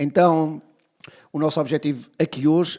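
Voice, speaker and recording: A man's dark, mellow tone at a fairly slow pace. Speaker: podcast host.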